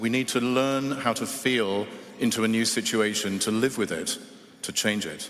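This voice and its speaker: Someone with an English accent speaks at a moderate pace and with fairly even intonation over noticeable background noise. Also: man. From England. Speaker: award judge and author. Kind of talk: award ceremony speech. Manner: hesitant with fillers at start.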